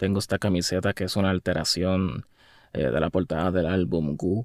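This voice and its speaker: At a fairly slow pace, a man speaks with ordinary pitch variation in a dry, close sound with no echo. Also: very clean recording, silent background. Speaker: musician. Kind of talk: casual video monologue. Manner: halting.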